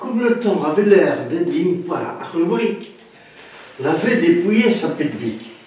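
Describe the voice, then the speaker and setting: Over noticeable background noise, a man with a western French rural accent speaks very slowly in a high pitch with lively intonation. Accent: western French rural patois. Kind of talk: dialect folk tale telling.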